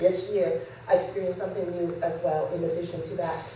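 Monotone, flat delivery from a woman at a fairly quick pace, with light background noise and audible room echo. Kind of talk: public speech. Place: hall. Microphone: podium.

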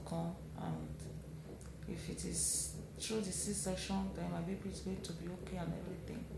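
The voice sounds weary, with an audible echo off the room. Loud noise fills the background. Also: woman. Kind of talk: casual vlog chat. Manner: weary, slow, low-energy hospital-bed talk. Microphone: phone near.

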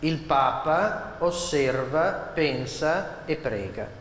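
Amid audible room echo, a man talks with ordinary pitch variation. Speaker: reciter of dialect poems. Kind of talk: spoken introduction to a poetry reading. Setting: live event hall. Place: hall. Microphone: podium.

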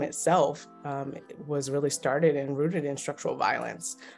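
Faint music plays behind a woman speaking with an American accent. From Baltimore, Maryland. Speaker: clinical social worker and therapist. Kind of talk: interview answer. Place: home room. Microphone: phone near.

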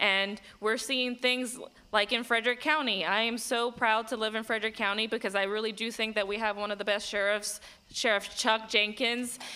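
A woman speaks at a moderate pace with a fairly high pitch. Her tone is bright and sharp, and her intonation is monotone and flat. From Puerto Rico. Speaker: congressional candidate and veteran; candidate. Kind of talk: political debate. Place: hall. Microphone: podium.

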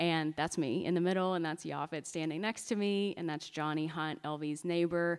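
Using a normal speaking voice with an American accent, a woman talks at a moderate pace with hardly any pauses, her fairly low pitch kept in fairly even intonation. The recording is very clean, with a silent background. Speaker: curator and art historian. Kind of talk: lecture. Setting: stage with audience.

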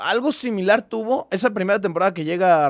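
The man's pitch swings very widely, set against a quiet background. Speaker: football fan podcast host. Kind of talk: casual chat. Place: studio. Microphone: studio mic.

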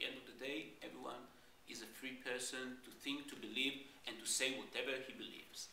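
Over light background noise and with audible room echo, a man with an Israeli accent speaks at a moderate pace. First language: Hebrew. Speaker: diplomat. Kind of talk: panel debate. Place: classroom.

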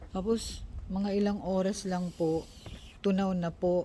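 A woman's somewhat breathy, medium-pitched voice with monotone, flat intonation. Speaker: vlogger. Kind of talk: casual vlog narration.

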